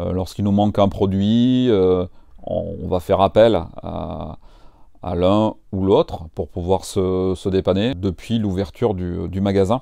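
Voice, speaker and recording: Over a quiet background, a man speaks very slowly at a fairly low pitch. His intonation is fairly even, and the sound is dry with no echo. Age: 40s. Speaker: franchise owner. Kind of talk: interview. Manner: hesitant, many fillers. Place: shop. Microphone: lapel.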